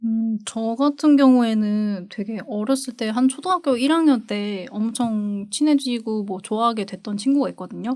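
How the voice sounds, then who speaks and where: With hardly any pauses, a woman speaks fairly slowly at a fairly high pitch, using ordinary pitch variation. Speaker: podcast co-host. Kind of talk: casual chat. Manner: stresses first syllable of phrases strongly.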